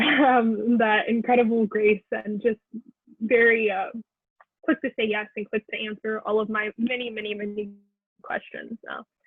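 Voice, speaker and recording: This woman's fairly high voice stays flat and monotone throughout. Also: moderate pace. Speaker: undergraduate research scholar. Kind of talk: thank-you remarks on a panel. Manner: loud.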